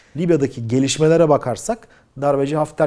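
A man's dark, mellow tone at a fairly quick pace. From Turkey. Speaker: aviation news commentator. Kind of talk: video commentary. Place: home room. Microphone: lapel.

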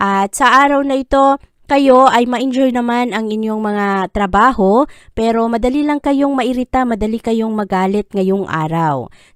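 Recorded very cleanly with a silent background and a dry, close sound with no echo, a woman with a fairly high pitch and a plain, everyday voice speaks at a fairly slow pace with lively intonation. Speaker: horoscope reader. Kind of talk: scripted narration.

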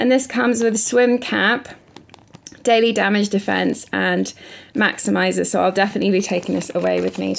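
In a raspy, put-on character voice at a middle pitch, the speaker talks at a fairly quick pace. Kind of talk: casual haul vlog chat. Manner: talking very fast.

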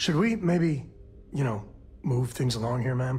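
A raspy, put-on character voice delivered at a moderate pace with a low-to-middle pitch. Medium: video game.

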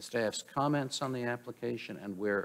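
This is an unremarkable speaking voice with ordinary pitch variation, delivered at a moderate pace. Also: man. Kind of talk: formal procedural reading. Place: hall. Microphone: podium.

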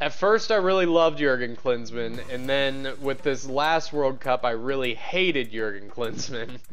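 Faint music plays behind a man talking at a moderate pace. His pitch varies in an ordinary way. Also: hardly any pauses. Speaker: game streamer. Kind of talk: casual stream chat. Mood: relaxed, chatty. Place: home room. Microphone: headset.

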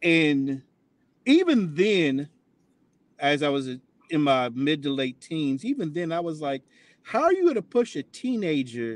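A man with an American accent speaks slowly-ish at a fairly slow pace and fairly high pitch, in a dry sound with no echo. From US Midwest, Columbus, Ohio; Ohio. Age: 50s. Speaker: interview guest, atheist; interview guest. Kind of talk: interview testimony.

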